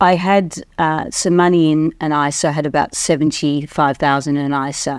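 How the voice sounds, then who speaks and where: In a very clean recording with a silent background, a woman speaks in a flat monotone with a very deep, low pitch. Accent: Australian. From Australia. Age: 50s. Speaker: investing course client. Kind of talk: testimonial interview.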